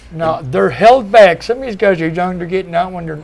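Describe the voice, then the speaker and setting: A high male voice, with noticeable noise behind it. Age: 60s. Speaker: former cannabis prisoner. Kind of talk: panel discussion.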